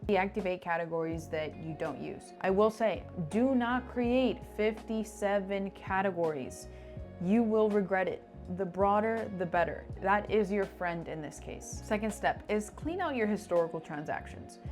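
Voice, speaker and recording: Music plays behind a speaker going at a moderate pace. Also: woman. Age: 20s. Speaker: personal finance youtuber. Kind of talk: tutorial. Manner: casual and chatty.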